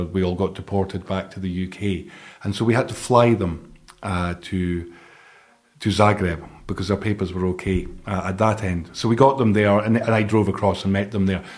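This man has a Scottish accent and a fairly low pitch. His intonation is monotone and flat. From Scotland. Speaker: charity director. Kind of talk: interview.

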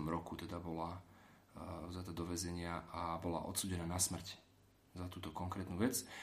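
A man talks at a moderate pace with a very deep, low pitch. The room echo is audible. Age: 30s. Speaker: political advisor to an MEP. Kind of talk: interview.

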